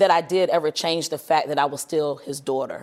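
A woman with a plain, everyday voice speaks at a moderate pace and a fairly low pitch. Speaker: ministry leader. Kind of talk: testimony. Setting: studio.

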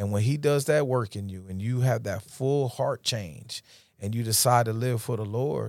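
Speaking with an American accent, a man uses a plain, everyday voice at medium pitch and a moderate pace. Pitch variation is ordinary, and the recording is very clean with a silent background. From upstate New York, Rochester. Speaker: DJ and ministry speaker. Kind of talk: testimony. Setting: studio.

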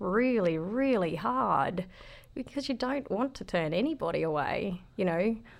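With an Australian accent, a woman speaks at a medium pitch and fairly slow pace, her pitch swinging very widely. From Australia, rural southeast Queensland. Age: 30s. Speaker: veterans retreat operator. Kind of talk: casual interview. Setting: studio.

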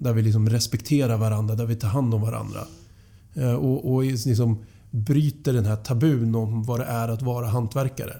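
Somewhat breathy and dark, mellow in tone, a man speaks at medium pitch and a moderate pace with fairly even intonation. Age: 40s. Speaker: painter and construction company culture manager. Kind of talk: podcast interview.

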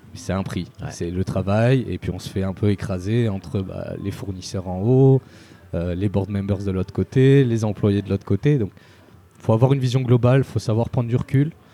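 A man's voice sits at a fairly low pitch with a dark, mellow tone. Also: ordinary pitch variation, moderate pace. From Spain and Marseille. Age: 20s. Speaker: start-up founder. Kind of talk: interview. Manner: casual.

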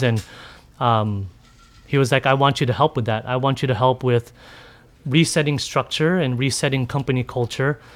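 At a moderate pace, a man with an ordinary speaking voice talks at medium pitch with fairly even intonation. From San Diego, California. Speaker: chef. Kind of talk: live podcast interview. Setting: live event with audience.

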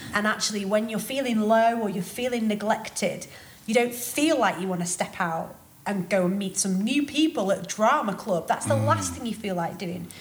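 Music plays in the background as a woman speaks at a moderate pace. Her pitch is medium, with ordinary variation. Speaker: singer and podcast host. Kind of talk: casual interview chat.

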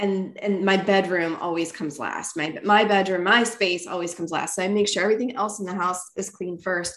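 Woman with an American accent, medium-pitched, fairly quick and hardly pausing, with fairly even intonation amid noticeable background noise. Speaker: podcast host. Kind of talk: casual chat.

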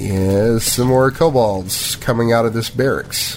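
Over noticeable background noise, a man with a medium pitch talks at a fairly slow pace with ordinary pitch variation. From Kentucky. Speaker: tabletop game master. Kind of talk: tabletop role-play narration.

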